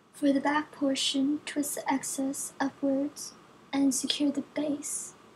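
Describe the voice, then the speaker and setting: A woman's high-pitched, monotone, flat voice at a very slow pace, with noticeable background noise. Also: very even loudness. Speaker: hair tutorial creator. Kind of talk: hair tutorial voiceover.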